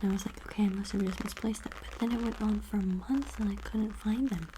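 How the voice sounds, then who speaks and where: Over noticeable background noise, a woman speaks softly. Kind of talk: ASMR soft spoken ramble; casual talk to camera. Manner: soft-spoken.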